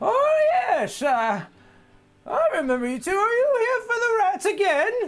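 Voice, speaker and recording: This is a put-on character voice at an extremely high pitch. It moves at a fairly slow pace, and the pitch swings very widely. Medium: actual play. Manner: halting, stammering.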